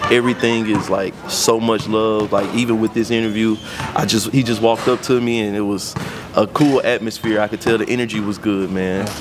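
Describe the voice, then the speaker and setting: The speech moves at a fairly quick pace with monotone, flat intonation over noticeable background noise. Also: man. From South Memphis, Tennessee; Tennessee. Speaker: interviewee, local resident; interviewee. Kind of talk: street interview. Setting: outdoors at a park. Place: open country. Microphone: handheld.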